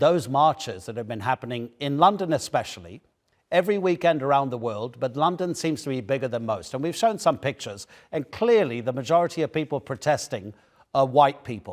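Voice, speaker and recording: Fairly quick, fairly high-pitched speech from a man with a British accent, full of very wide pitch swings, on a very clean recording with a silent background. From UK. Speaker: news anchor. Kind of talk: news interview.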